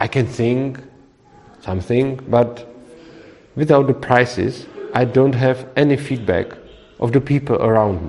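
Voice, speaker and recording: A man with a Czech accent, medium pitch, ordinary pitch variation, a fairly slow pace and long, frequent pauses, over noticeable background noise. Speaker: libertarian author leading a discussion course. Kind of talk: group discussion. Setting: room with small audience, recorded. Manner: halting.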